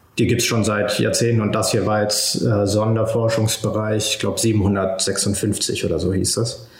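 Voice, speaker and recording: At a fairly slow pace and with hardly any pauses, a man speaks in a fairly low, monotone, flat voice at very even loudness, with audible room echo and noticeable background noise. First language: Spanish (speaking German). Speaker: PhD student in oceanography. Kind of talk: interview. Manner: halting, many fillers and repeated words.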